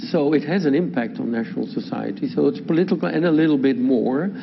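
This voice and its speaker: Noticeable background noise and audible room echo accompany a man with a Dutch accent. His fairly high pitch swings very widely. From Netherlands. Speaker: law professor. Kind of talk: lecture.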